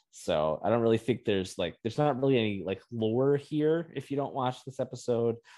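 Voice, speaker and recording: In an ordinary speaking voice, a man talks at a fairly quick pace with hardly any pauses, medium pitch and ordinary pitch variation. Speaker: podcast host. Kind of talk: casual chat.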